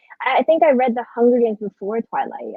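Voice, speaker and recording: A woman speaks in an American accent at a moderate pace. Her intonation is lively. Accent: sounds American. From Philippines, Manila. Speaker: book subscription box founder. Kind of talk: casual chat. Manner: halting.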